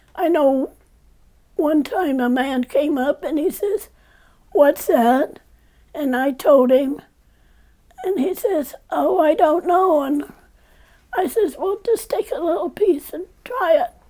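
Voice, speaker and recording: Through noticeable background noise, a high-pitched woman talks at a very slow pace with lively intonation and long, frequent pauses. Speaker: longtime church member. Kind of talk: interview answer.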